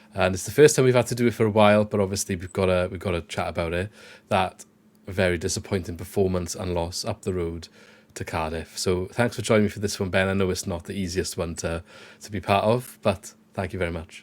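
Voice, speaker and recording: A man with a South Wales accent talks very fast in a very deep, low pitch, his intonation fairly even, on a very clean recording with a silent background. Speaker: football podcast host. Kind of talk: casual chat.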